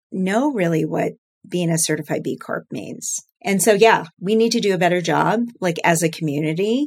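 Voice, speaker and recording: She has a plain, everyday voice. The woman's intonation is lively. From US Midwest, central Illinois. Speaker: startup founder and CEO. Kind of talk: interview.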